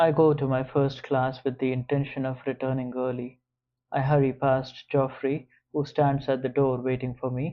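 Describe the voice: The speaker simply reads aloud. Behind the voice, things stay quiet.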